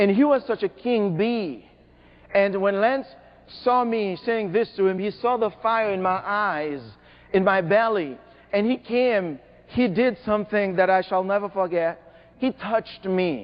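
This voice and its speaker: A fairly slow, high-pitched male voice, pitch moving in an ordinary way. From Haiti. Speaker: motivational speaker. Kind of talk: motivational keynote speech. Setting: stage with audience. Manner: animated; repeats words when emphatic.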